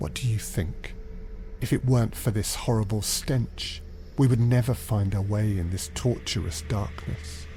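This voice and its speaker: In a put-on character voice, a man sounds gruff at a fairly low pitch. He keeps a moderate pace over clear background noise. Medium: read story.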